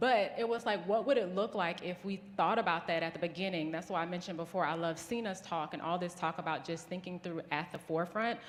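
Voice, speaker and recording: With a Southern US accent, a woman talks at a fairly quick pace and fairly low pitch, using ordinary pitch variation amid audible room echo. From US South. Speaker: business founder. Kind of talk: conference talk.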